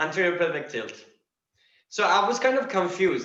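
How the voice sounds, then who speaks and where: Bright and sharp in tone, a man with a non-native accent speaks with lively intonation amid audible room echo. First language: not English. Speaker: practitioner student. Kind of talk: question in online class. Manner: halting.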